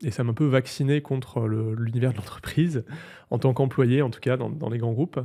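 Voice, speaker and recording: At medium pitch, a man speaks in a dark, mellow tone with fairly even intonation on a very clean recording with a silent background. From southern France, Provence (near Marseille). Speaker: tech entrepreneur. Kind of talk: interview. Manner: hesitant, many fillers.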